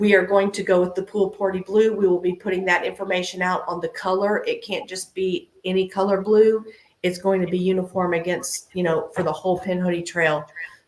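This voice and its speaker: A woman uses a put-on character voice that is raspy and medium in pitch. She talks at a fairly quick pace with hardly any pauses. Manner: excited, talking fast.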